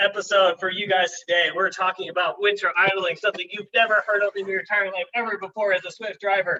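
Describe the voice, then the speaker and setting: A man talks loudly at a high pitch. His pace is fairly quick. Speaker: company video show host. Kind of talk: casual company video show. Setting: office conference room. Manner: animated.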